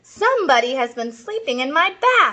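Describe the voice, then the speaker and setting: A woman's put-on character voice with very wide pitch swings at a moderate pace. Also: extremely high pitch for a woman. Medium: read story.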